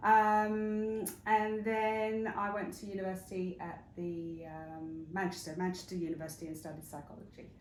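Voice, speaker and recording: With an English accent, a woman at medium pitch talks at a moderate pace with hardly any pauses, fairly even intonation and big swings in loudness. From England, northwest London / Hertfordshire. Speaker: interview guest, wellness retreat founder. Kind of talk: interview. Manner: hesitant, many fillers.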